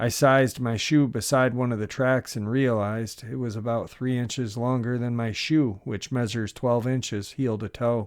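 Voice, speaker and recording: In a very clean recording with a silent background, a man with a normal speaking voice and a medium pitch talks at a moderate pace with fairly even intonation and hardly any pauses. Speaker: narrator. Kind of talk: first-person encounter story reading.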